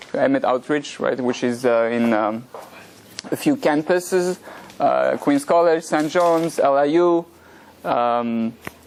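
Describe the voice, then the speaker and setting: A man speaks at a very slow pace in a French accent, his pitch fairly high and its variation ordinary. His loudness stays very even, with long, frequent pauses and noticeable background noise. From France. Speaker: rabbi, religious teacher. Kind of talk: lecture. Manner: hesitant, many fillers.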